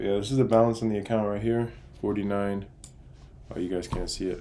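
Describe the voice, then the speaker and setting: A man talks very fast and quietly in a fairly low, dark, mellow voice with flat, monotone intonation, and the room echo is audible. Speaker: day trader streamer. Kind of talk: live trading stream. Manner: casual.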